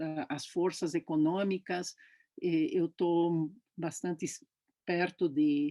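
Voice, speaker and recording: A woman's fairly low, dark and mellow voice, monotone and flat, at a very slow pace with long, frequent pauses, on a very clean recording with a silent background. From Brazil, São Paulo. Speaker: professor. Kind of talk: interview. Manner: halting.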